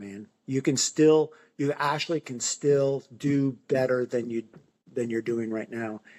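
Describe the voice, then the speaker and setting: Speaking in an ordinary speaking voice at a fairly slow pace, a man with a medium pitch keeps his intonation fairly even while his loudness swings widely, in a dry, close sound with no echo. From Finger Lakes, New York. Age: 60s. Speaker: amateur half-marathon runner. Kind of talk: interview answer. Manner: casual, encouraging.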